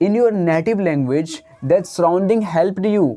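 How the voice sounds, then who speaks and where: The speaker goes at a moderate pace with an Indian accent. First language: Hindi. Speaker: English teacher. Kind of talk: tutorial. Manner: halting.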